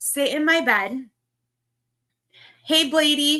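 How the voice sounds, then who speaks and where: Raised and projected, a woman's high voice has a bright, sharp tone and fairly even intonation. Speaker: livestreamer. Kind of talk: casual chat.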